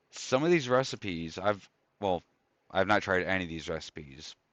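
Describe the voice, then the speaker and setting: A man's fairly low voice in a relaxed tone with lively intonation, at a moderate pace against a quiet background, in a dry, close sound with no echo. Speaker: video game streamer. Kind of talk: live gameplay stream chat. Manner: casual, relaxed.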